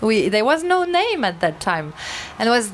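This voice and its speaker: Speaking with a French accent over noticeable background noise, a woman with a fairly high pitch talks at a fairly slow pace with very wide pitch swings. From France, Basque Country (southwest). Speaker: novelist. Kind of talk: panel discussion at a book launch. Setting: bookshop event with audience. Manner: halting, many hesitations.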